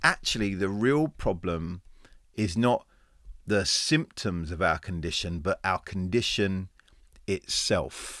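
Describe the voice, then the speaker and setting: A man with an English accent speaks at a fairly low pitch with lively intonation. His pace is very slow, broken by long, frequent pauses. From England. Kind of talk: informal teaching talk. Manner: halting, with repetitions.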